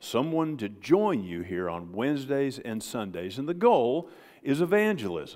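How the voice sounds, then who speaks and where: In an Ozark accent, a man speaks at medium pitch and a moderate pace. His pitch swings very widely in a very clean recording with a silent background. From Ozarks, US Midwest/South. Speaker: pastor. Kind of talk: sermon. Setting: church.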